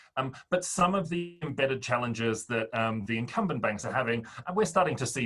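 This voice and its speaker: Music plays in the background as a man speaks fairly quickly with lively intonation. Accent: Australian. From Australia. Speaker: fintech startup founder. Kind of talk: interview.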